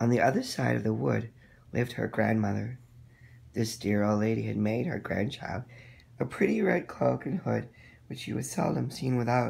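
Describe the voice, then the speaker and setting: Recorded very cleanly with a silent background, a man does a raspy put-on character voice at medium pitch and a moderate pace. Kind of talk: bedtime story. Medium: read story.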